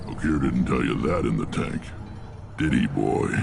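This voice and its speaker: This man uses a put-on character voice at a moderate pace. Loud background noise fills the recording. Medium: video game. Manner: gruff, blunt.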